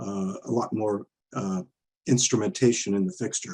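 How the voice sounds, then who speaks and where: A man speaks at a fairly slow pace in a fairly low pitch with a dark, mellow tone. The sound is dry and close, with no echo. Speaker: conference presenter, verification consultant. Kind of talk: technical conference presentation; Q&A answers. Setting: virtual conference. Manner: halting, many fillers; quiet.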